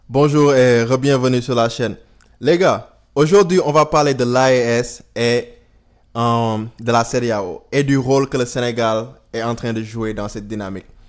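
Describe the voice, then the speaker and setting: A man talks at a fairly slow pace and medium pitch with ordinary pitch variation, on a very clean recording with a silent background. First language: Wolof (speaking French). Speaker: YouTuber, political commentator. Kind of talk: casual video commentary. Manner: halting, with fillers and English words.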